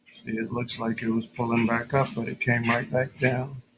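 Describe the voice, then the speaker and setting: At a fairly slow pace, a man with a medium pitch talks. His intonation is monotone and flat. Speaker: day trader. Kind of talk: live trading commentary. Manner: low energy.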